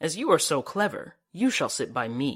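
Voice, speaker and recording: This put-on character voice growls at a moderate pace over a very clean recording with a silent background. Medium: read story. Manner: commanding.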